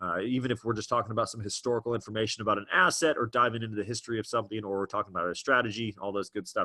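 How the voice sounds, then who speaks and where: A man talks at a very fast pace with hardly any pauses, his tone bright and sharp. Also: medium pitch for a man. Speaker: trading educator, webinar host. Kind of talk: live webinar presentation. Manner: animated.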